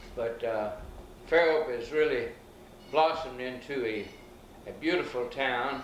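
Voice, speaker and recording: There's audible room echo as a man of medium pitch speaks at a fairly slow pace. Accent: Alabama. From US South, Alabama Gulf Coast. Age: 70s. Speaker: elderly local resident recounting town history. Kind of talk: oral history interview. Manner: folksy, hesitant with fillers.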